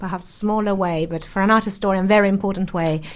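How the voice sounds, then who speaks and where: With an Italian accent, a woman speaks at a medium pitch with ordinary pitch variation. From Brescia, northern Italy. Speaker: art historian. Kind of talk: panel discussion.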